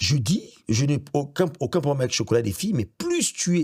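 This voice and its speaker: A man is speaking. His voice is somewhat breathy. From Gabon. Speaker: radio director and presenter, voice-over actor. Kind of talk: interview answer.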